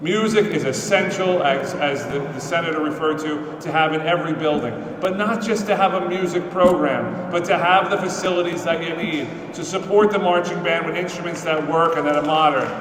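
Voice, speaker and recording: Over noticeable background noise and audible room echo, a man speaks fairly quickly in a high pitch with fairly even intonation. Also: hardly any pauses. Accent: New York. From New York. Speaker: state legislator. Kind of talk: speech at a press conference. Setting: state capitol building, indoors with audience. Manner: unscripted, conversational.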